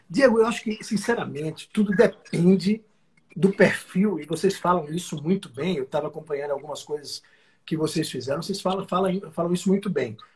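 A man with a high-pitched voice speaks at a fairly quick pace, showing ordinary pitch variation. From Brazil, Northeast (Alagoas). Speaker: company president, franchise executive. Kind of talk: interview. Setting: live stream.

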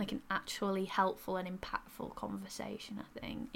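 Here a woman with a strong Yorkshire accent talks at a fairly quick pace. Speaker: podcast co-host.

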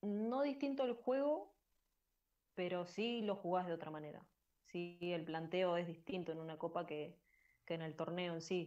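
A woman talks at a fairly slow pace with a Rioplatense accent. Her voice sits fairly low in pitch. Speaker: women's football player. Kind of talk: interview.

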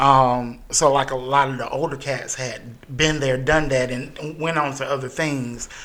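A man with an American accent speaks at a fairly high pitch in a bright, sharp tone. His delivery is monotone and flat at a fairly slow pace, with audible room echo. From US South, Greenwood, South Carolina. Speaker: theatre company founder and artistic director. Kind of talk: casual chat.

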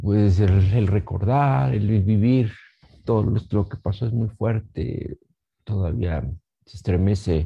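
A man's fairly low, somewhat breathy voice, dark and mellow in tone, with ordinary pitch variation and a very slow pace. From Mexico, Pachuca, Hidalgo. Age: 50s. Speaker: bereaved family member. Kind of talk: testimony. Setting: pre-recorded video. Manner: halting.

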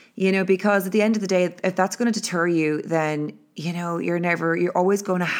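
On a very clean recording with a silent background, a woman in an Irish accent speaks fairly quickly at a fairly low pitch with fairly even intonation. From Ireland. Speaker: podcast host, motivational speaker. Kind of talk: solo motivational monologue. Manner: casual, filler-heavy.

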